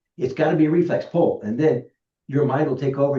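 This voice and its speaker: A man talks at a fairly quick pace. His voice is somewhat breathy, with a dark, mellow tone. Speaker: glider pilot giving safety talk. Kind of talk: club meeting presentation.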